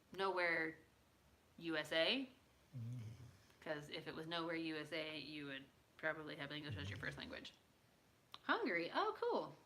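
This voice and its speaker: With an American accent, a woman speaks at a moderate pace in a very deep, low pitch and a bright, sharp tone, leaving long, frequent pauses amid audible room echo. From United States. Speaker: livestreamer. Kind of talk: casual chat.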